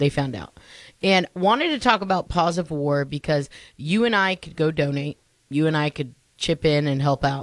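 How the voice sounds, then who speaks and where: In a very clean, silent recording with a dry, close sound and no echo, a woman speaks in a very deep, low pitch with an animated tone. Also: ordinary pitch variation, moderate pace. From Mexican heritage. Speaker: radio host. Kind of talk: morning radio chat.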